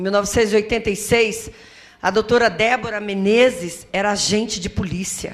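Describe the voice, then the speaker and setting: A woman speaks at a moderate pace with fairly even intonation and a fairly high pitch. She has a normal speaking voice. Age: 60s. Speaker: community association leader, domestic violence survivor. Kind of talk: testimony at a seminar. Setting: auditorium with audience.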